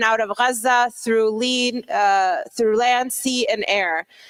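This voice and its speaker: Over music in the background, a woman speaks fairly slowly at a fairly high pitch in a monotone, flat intonation, the sound dry and close with no echo. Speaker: conference speaker. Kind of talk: lecture.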